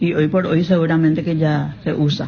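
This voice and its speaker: There is noticeable background noise behind the speaker. She is a woman with a fairly low pitch. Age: 70s. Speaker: listener voice message. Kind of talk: voice message.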